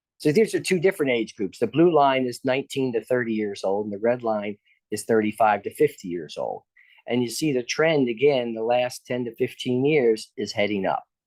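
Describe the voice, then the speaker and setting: The sound is dry and close, with no echo. At a fairly quick pace, an ordinary speaking voice shows ordinary pitch variation. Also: man, medium pitch for a man. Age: 60s. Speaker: professor of psychiatry, researcher. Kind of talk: lecture. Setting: lecture hall with in-person audience.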